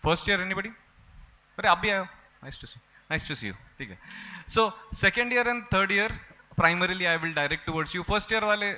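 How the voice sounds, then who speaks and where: A man with a high voice speaks very fast in a raised, projected voice, his loudness swinging widely between long, frequent pauses. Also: ordinary pitch variation. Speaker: rheumatologist. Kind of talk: conference lecture. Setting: stage with audience.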